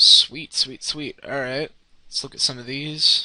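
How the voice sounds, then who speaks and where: A man speaking at a fairly slow pace. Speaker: 3D modeling tutorial creator. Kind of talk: tutorial. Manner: casual, with fillers.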